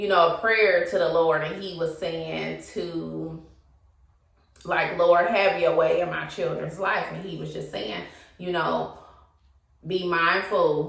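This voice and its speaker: A woman at a very slow pace with long, frequent pauses, amid audible room echo. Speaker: YouTuber. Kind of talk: casual monologue. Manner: hesitant.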